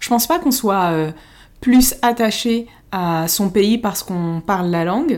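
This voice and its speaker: An ordinary speaking voice with lively intonation talks at a fairly slow pace on a very clean recording with a silent background. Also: woman, medium pitch for a woman. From France, Paris, Moroccan family. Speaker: podcast co-host. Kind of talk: casual chat.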